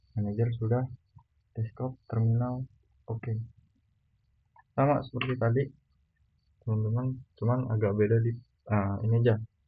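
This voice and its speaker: A man speaks at a medium pitch and a moderate pace, his intonation flat and monotone, with long, frequent pauses and music playing in the background. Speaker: student. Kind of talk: tutorial. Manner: casual.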